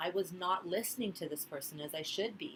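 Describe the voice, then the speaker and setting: A woman speaks at a fairly quick pace, her intonation lively. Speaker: student giving a class speech. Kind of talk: class presentation speech.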